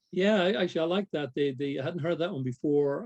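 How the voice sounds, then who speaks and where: A man speaks with ordinary pitch variation. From Ireland. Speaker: e-learning trainer. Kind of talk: interview.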